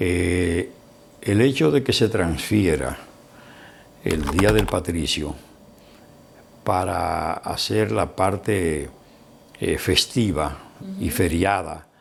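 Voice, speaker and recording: A man with a very deep, low pitch talks at a very slow pace, with long, frequent pauses. His pitch variation is ordinary, and noticeable background noise is audible. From Dominican Republic, Barahona. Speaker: lawyer, broadcaster, journalist and writer. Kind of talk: interview answer.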